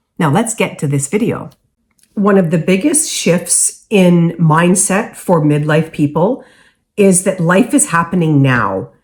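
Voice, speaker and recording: The speaker talks at a fairly slow pace. The voice is somewhat breathy. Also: woman. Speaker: lifestyle vlogger. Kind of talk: casual vlog talk to camera. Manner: casual with filler ums.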